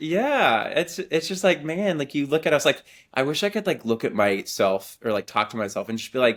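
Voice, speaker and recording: A man with an American accent speaks at a moderate pace, his fairly high pitch swinging very widely, with vocal fry. The recording is very clean, with a silent background. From Texas, Waco. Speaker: music supervisor. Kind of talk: interview conversation. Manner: animated.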